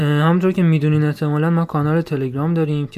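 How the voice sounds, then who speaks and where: A man talks very fast in a dark, mellow tone, his fairly high pitch held in a monotone, flat intonation. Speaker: podcast host. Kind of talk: casual chat.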